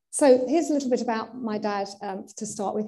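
A woman's somewhat breathy, dark and mellow voice, with fairly even intonation at a moderate pace against a quiet background. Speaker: presenter. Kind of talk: illustrated talk. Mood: warm, lightly amused. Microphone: video call.

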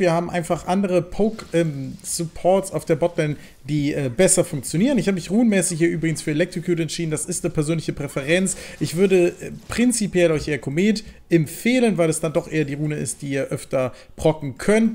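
A man rattles off his words at a very fast pace, his intonation lively. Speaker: gaming video creator. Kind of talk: gameplay commentary. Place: home room.

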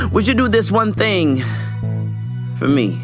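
A man at a fairly low pitch and fairly quick pace, lively intonation, music in the background. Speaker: spoken word poet. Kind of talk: spoken word poetry performance.

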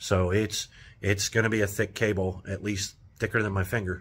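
A man's fairly low voice with a bright, sharp tone, fairly even intonation and a moderate pace. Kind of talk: casual vlog chat. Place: workshop. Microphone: phone near.

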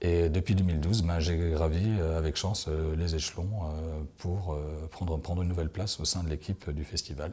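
A man speaks in a very deep, low voice that is somewhat breathy, with a dark, mellow tone. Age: 30s. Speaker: festival communications director. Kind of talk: interview. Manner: hesitant, many fillers. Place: classroom.

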